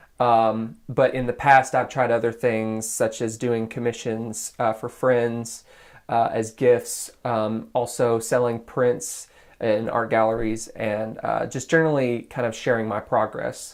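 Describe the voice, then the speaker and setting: Monotone, flat intonation marks a man's medium-pitched voice. He has an American accent and a fairly slow pace. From US South, Nashville suburbs, Tennessee. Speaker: graphic artist. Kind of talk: interview.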